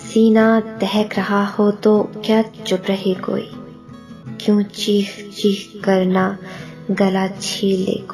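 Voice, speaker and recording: A woman talks in a monotone, flat way at medium pitch, with music in the background. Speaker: poetry reciter. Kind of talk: poetry reading.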